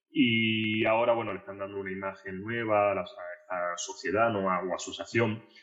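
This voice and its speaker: The speech has a moderate pace and a monotone, flat intonation. Noticeable background noise runs underneath. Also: man, fairly low pitch for a man. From Argentina. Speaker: translator and literature scholar. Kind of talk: podcast interview.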